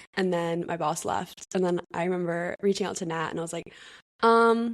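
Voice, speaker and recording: A woman talks in an ordinary speaking voice at a fairly low pitch. Her pace is moderate and her pitch variation ordinary. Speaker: podcast co-host. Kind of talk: casual chat; scripted podcast intro.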